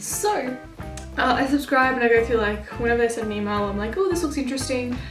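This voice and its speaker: Over noticeable background noise and audible room echo, a woman talks at a very fast pace in a high pitch. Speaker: book vlogger and writer. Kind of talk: casual vlog. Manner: animated.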